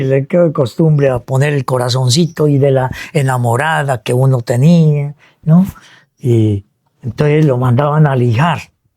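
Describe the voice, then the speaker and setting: A man speaks at a fairly slow pace in a dark, mellow tone of medium pitch. His loudness stays very even throughout. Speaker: radio announcer. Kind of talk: interview answer. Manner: storytelling, lively.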